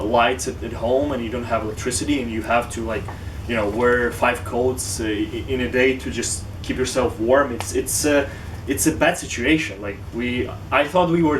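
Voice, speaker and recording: A man with a Ukrainian accent speaks at medium pitch and a moderate pace. His pitch varies in an ordinary way over noticeable background noise. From Western Ukraine. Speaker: tech company founder and university student. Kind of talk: interview answer.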